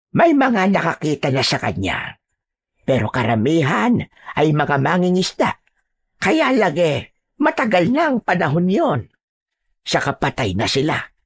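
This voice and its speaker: Using a put-on character voice, a woman speaks at a fairly slow pace with long, frequent pauses and very wide pitch swings, on a very clean recording with a silent background. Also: fairly low pitch for a woman. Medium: read story. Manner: grave, warning.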